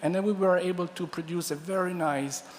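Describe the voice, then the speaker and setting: At a moderate pace, a man talks in an Italian accent. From Italy. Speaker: food science professor. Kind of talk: conference talk. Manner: halting, many fillers and restarts.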